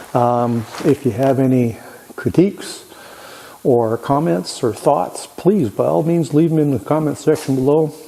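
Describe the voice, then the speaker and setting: Over noticeable background noise, a man speaks at a fairly slow pace with very even loudness. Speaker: woodworking machine channel host. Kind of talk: tutorial. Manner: halting.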